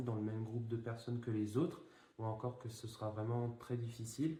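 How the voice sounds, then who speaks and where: Talking at a very fast pace, a man with a medium-pitched voice is heard with audible room echo. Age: 20s. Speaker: project founder. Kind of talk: interview. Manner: hesitant, many fillers.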